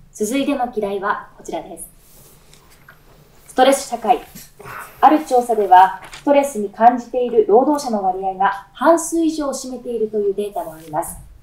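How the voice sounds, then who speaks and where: A woman's high-pitched voice at a moderate pace, with very wide pitch swings, big swings in loudness, long and frequent pauses, and audible room echo. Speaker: announcer. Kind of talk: news show host read. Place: studio.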